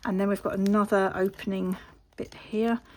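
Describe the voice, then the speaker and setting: A woman with an English accent is heard in a very clean recording with a silent background. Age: 50s. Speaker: papercraft youtuber. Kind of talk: craft show-and-tell. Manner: casual, with filler ums.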